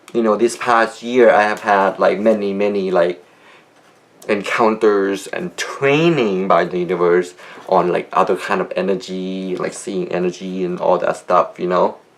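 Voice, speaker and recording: Over noticeable background noise, a man speaks fairly slowly at a fairly low pitch with ordinary pitch variation. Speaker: video blogger. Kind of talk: video diary monologue. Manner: mumbling; hesitant, many fillers.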